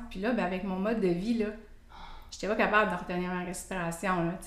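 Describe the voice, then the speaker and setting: Speaking at a medium pitch with ordinary pitch variation, this woman has an ordinary speaking voice. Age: 50s. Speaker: cancer survivor, app member. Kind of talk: casual interview.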